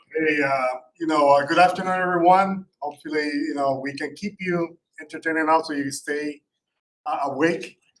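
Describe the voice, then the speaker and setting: A man with a Puerto Rican accent talks at a moderate pace. His voice is fairly high, with fairly even intonation. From Puerto Rico. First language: Spanish. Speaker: cybersecurity company founder. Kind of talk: panel discussion. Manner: halting with many fillers.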